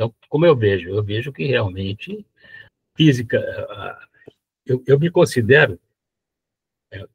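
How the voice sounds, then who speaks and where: With long, frequent pauses, a man of medium pitch speaks somewhat breathily at a fairly slow pace, in a dry, close sound with no echo. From São Paulo, Brazil. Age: 90s. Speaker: retired engineer and blogger. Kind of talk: live interview. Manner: halting, repeats words.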